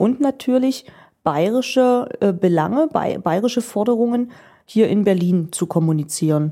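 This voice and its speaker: A woman speaks at a moderate pace with lively intonation, a dark, mellow tone and very even loudness. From eastern Germany, Magdeburg. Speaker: parliamentary press spokesperson. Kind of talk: interview. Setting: office.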